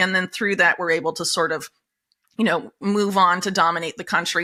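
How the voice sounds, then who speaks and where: A woman with an American accent speaks very fast in a bright, sharp tone. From United States. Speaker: investigative journalist. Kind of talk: interview. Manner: many fillers and hesitations.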